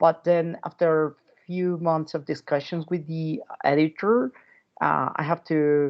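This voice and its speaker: With a non-native accent, a man speaks at a fairly slow pace with fairly even intonation. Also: fairly high pitch for a man. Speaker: legal scholar and author. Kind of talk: academic talk. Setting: video call.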